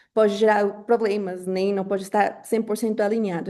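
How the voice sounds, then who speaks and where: With a Colombian accent, a woman speaks at a moderate pace and medium pitch in a dark, mellow tone, her intonation monotone and flat over a quiet background. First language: Spanish (speaking Portuguese). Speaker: webinar moderator, marketing professional. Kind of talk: webinar moderation. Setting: online webinar on Zoom. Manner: frequent filler hesitations.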